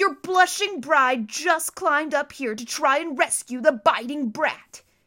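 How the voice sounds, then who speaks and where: Using a put-on character voice, a woman growls at a high pitch. She keeps a moderate pace while her loudness swings widely. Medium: read story. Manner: sickly sweet, snarling.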